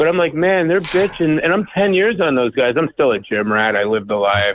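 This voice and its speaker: A man with a plain, everyday voice, fairly quick delivery and lively intonation. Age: 60s. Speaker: caller. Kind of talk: casual chat.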